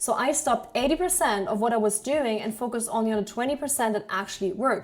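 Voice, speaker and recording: A woman with a German accent talks at a very fast pace and a fairly high pitch. Her pitch variation is ordinary, and there is noticeable background noise. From Germany. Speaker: online business coach. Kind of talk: sales pitch.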